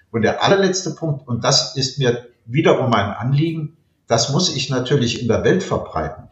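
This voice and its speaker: A man's fairly high, somewhat breathy voice moves at a moderate pace with ordinary pitch variation. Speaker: retired law professor. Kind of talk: interview.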